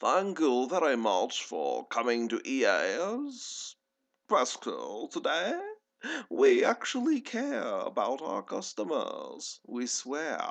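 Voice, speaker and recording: Using a put-on character voice, a man speaks at a very slow pace. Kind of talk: exaggerated false sincerity. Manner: horrible, stereotypical, insincere.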